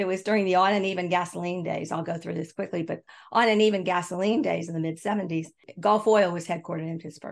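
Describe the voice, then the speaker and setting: A woman's fairly low voice at a very fast pace, with fairly even intonation. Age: 70s. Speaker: author and consultant. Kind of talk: casual interview conversation.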